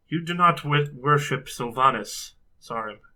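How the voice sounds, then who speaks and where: A man puts on a character voice, fairly high in pitch, at a moderate pace. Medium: actual play. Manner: firm, measured.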